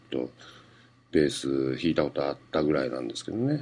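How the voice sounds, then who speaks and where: This man talks at a moderate pace. His intonation is lively. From Fukuoka, Japan. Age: 40s. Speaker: comedian. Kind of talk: solo radio-style monologue. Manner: casual, filler-heavy.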